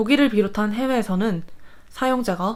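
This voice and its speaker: A woman with an unremarkable speaking voice at a moderate pace. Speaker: university student. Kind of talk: scripted narration. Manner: formal.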